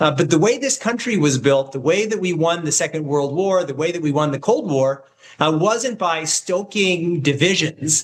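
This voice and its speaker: A man with an American accent and a high pitch speaks at a moderate pace with lively intonation. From US Midwest, Kansas City. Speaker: political commentator, former government staffer. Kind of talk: political interview debate.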